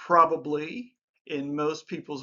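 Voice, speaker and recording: This man has a normal speaking voice, pitched fairly high, with ordinary pitch variation. He speaks at a fairly slow pace. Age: 60s. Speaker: life advice YouTuber. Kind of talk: casual talk-to-camera advice monologue. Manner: conversational with filler words.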